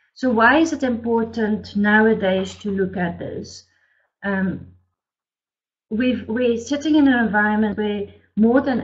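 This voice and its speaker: With a somewhat breathy sound, a woman moves at a fairly slow pace and ordinary pitch variation. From DR Congo, Belgian family. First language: French or Flemish. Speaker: business consultant. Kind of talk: webinar presentation. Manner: hesitant, many fillers.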